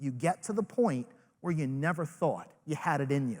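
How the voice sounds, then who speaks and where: An animated man with a Rhode Island accent and lively intonation. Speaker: network marketing leader, motivational speaker. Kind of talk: motivational speech. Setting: stage with live audience.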